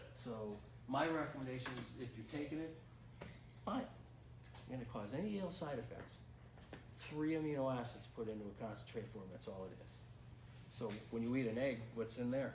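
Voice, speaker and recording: A man at medium pitch, with ordinary pitch variation, speaks with long, frequent pauses amid noticeable background noise and audible room echo. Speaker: nutrition coach. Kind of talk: seminar lecture. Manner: fast.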